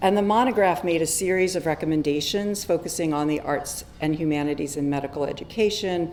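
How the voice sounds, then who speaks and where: With audible room echo, a woman speaks at a fairly quick pace in a fairly low pitch, with ordinary pitch variation and hardly any pauses. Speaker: physician and medical educator. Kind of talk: conference talk. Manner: soft-spoken; hesitant with many fillers.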